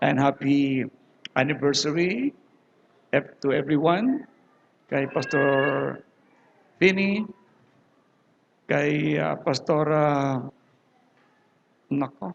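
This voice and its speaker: Very slow and broken by long, frequent pauses, a man talks at a fairly high pitch with ordinary pitch variation. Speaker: preacher. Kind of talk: sermon. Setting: church with audience and speakers. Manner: casual, halting. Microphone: low quality recording.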